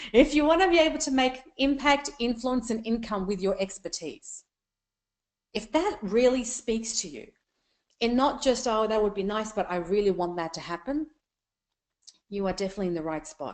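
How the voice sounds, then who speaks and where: Long, frequent pauses break up a woman's fairly high voice, which swings very widely in pitch. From Afghanistan. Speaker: business coach. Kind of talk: training webinar. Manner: fast; animated.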